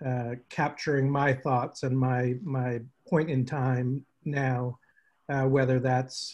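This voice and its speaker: Against a quiet background, a somewhat breathy man speaks very slowly with monotone, flat intonation. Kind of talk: check-in update on a group call. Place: home room. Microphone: video call.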